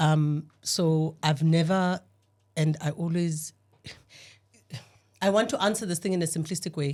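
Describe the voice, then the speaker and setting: A woman speaks at a moderate pace in a very deep, low pitch, her voice somewhat breathy and her intonation fairly even. The recording is very clean, with a silent background. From rural Eastern Cape, South Africa. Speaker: panel guest. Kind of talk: podcast discussion. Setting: studio.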